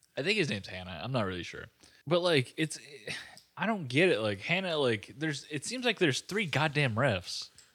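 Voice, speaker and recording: The voice has vocal fry and very wide pitch swings. It moves at a fairly quick pace. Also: man, fairly high pitch for a man. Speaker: podcast co-host. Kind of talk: casual chat. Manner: animated.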